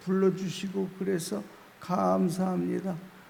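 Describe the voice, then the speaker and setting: A man speaks very slowly. Room echo can be heard. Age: old. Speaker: pastor. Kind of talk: sermon. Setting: prayer retreat revival meeting. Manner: slow speech.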